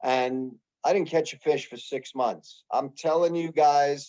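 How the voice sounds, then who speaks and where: A man speaks fairly slowly with a New York accent and fairly even intonation. His fairly high voice has a dark, mellow tone. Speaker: fishing guide. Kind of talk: club presentation. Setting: video call. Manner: casual, conversational.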